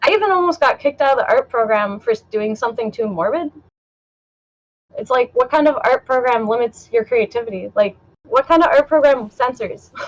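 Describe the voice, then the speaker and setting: A woman speaks at a fairly quick pace in a high pitch with lively intonation. The sound is dry and close with no echo. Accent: Canadian. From Canada, Toronto. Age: 20s. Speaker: artist. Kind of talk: casual chat.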